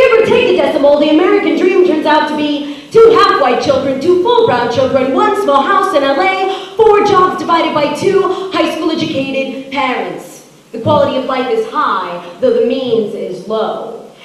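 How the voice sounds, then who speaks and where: A high-pitched woman at a moderate pace, with music in the background and strong room echo. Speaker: spoken word poet. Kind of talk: performed spoken word poem. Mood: political, wry, humorous. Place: stage.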